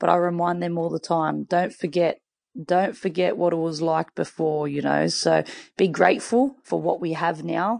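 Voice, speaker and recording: With an Australian accent, a woman speaks at a fairly low pitch and a moderate pace. Her pitch varies in an ordinary way over a quiet background. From Western Sydney, Australia. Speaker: football coach and former player. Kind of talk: interview.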